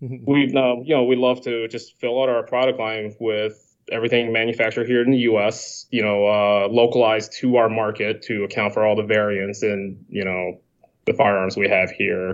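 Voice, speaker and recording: Using an unremarkable speaking voice, a man talks at a medium pitch with fairly even intonation and hardly any pauses. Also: moderate pace. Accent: American. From China, then Canada, then Chicago area from 14. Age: 30s. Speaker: firearms parts manufacturer. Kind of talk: casual panel discussion.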